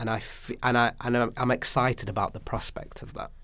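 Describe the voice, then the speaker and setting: Speaking in a Manchester accent at a moderate pace, a man has a bright, sharp tone. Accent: Manchester area English. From northern England, Stockport. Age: 30s. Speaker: actor. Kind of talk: casual chat.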